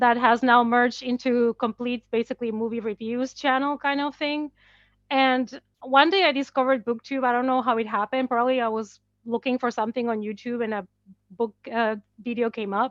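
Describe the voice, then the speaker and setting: Woman in a high voice with a non-native accent, fairly quick pace and fairly even intonation. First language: not English. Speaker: horror book and movie YouTuber. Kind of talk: casual chat.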